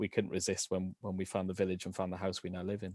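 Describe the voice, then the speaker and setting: A man with a South Wales accent over a quiet background. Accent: South Wales (Valleys). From Wales, Rhondda Valleys. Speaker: education quality assurance professional and photographer. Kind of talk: casual interview chat. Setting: video call. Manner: halting, repeats words.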